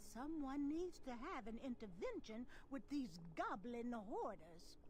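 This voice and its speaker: A female-sounding voice puts on a character voice at a high pitch and a fairly slow pace. Clear background noise is heard behind it. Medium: video game.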